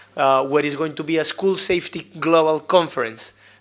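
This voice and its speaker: Speaking in a strong Colombian accent, a man keeps a fairly high pitch, fairly even intonation and a moderate pace. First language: Spanish. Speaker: school safety trainer. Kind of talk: workshop presentation.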